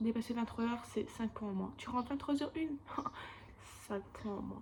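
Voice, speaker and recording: A high-pitched woman's voice with fairly even intonation amid noticeable background noise. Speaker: animation student vlogger. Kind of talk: casual vlog. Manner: casual, chatty.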